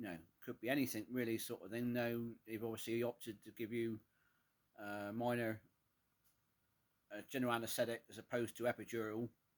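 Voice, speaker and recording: With a strong Cornish accent, a man speaks at medium pitch and a fairly quick pace, in monotone, flat intonation with long, frequent pauses. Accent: thick Cornish. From England, Cornwall. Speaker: vlogger. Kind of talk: casual personal vlog. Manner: hesitant, many fillers.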